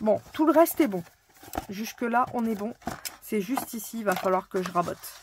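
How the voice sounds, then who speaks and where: With lively intonation and a fairly high pitch, a woman keeps a moderate pace. She takes long, frequent pauses. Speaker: craft tutorial youtuber. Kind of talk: tutorial. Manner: casual, chatty with fillers.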